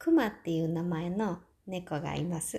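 The tone is dark and mellow, and somewhat breathy. The pace is fairly slow. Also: woman. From Osaka, Japan. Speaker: podcaster and business owner. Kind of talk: self-introduction monologue. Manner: hesitant, many fillers.

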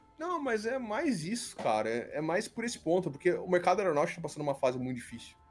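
Over music in the background, a man talks at a very fast pace with hardly any pauses, his high voice making very wide pitch swings. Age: 30s. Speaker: YouTuber and engineer. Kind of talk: casual chat.

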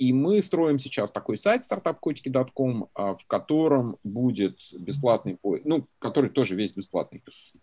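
The man's tone is dark and mellow. His voice sounds dry and close, free of any echo. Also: medium pitch for a man, fairly slow pace. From Russia, Belgorod region. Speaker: venture capitalist. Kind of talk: interview.

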